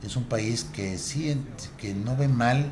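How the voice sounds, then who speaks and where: A man speaks with a strong northern Mexican accent and ordinary pitch variation. Audible room echo and noticeable background noise are present. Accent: northern Mexican, fairly strong. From northern Mexico, Monterrey. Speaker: radio veteran. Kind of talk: interview.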